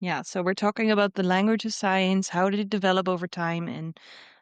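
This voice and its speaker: A woman with a Dutch accent speaks at a moderate pace and medium pitch, her intonation fairly even. The sound is dry and close with no echo, over a quiet background. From Netherlands. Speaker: podcast co-host, science communicator. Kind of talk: casual chat.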